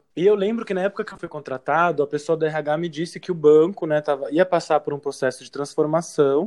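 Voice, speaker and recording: A man talks at a fairly quick pace in a high voice with ordinary pitch variation. The sound is dry and close, with no echo. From São Paulo, Brazil. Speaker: advertising professional. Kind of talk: casual interview.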